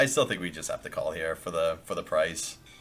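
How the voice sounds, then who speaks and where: A man speaks with music playing in the background. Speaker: poker player and coach. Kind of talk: casual live poker commentary.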